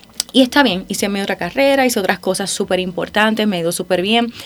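With noticeable background noise behind her, a woman speaks at a very fast pace in a fairly high voice. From Puerto Rico. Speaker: singer. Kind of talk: interview. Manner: animated, laughing often.

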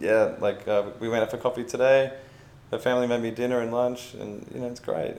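In an Australian accent, a man of medium pitch talks at a fairly quick pace with monotone, flat intonation. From Australia, Melbourne. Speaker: travel blogger. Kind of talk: casual chat. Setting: in person, traveling in Vietnam.

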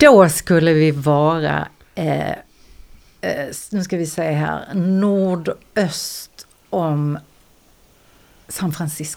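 A woman speaks at a very slow pace in a very deep, low pitch. Her intonation is fairly even on a very clean recording with a silent background. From Skåne, Eslöv. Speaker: singer and dancer. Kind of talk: casual chat.

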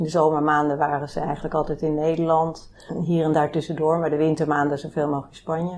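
A woman with a very deep, low voice talks very fast in a monotone, flat delivery. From Netherlands, Bennebroek near Haarlem. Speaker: family caregiver. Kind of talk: personal testimony in interview. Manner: halting, many fillers.

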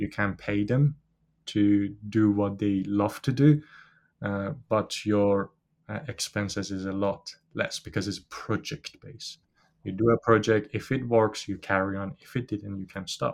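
A man speaks with a Persian accent at a fairly slow pace and a fairly low pitch. His intonation is fairly even, and the recording is very clean with a silent background. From Iran. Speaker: business founder. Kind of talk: interview. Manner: hesitant, with fillers.

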